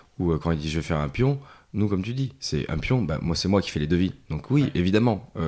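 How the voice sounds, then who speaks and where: A man's very deep, low voice has a dark, mellow tone and very wide pitch swings. He moves at a fairly quick pace on a very clean recording with a silent background. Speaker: board game publisher. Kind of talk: casual interview. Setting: at a games festival.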